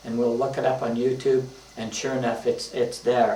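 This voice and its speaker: A man with a medium pitch talks at a fairly quick pace. Audible room echo and noticeable background noise fill the recording. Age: 70s. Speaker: retired teacher and author. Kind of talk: casual reminiscing monologue. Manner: halting, many fillers.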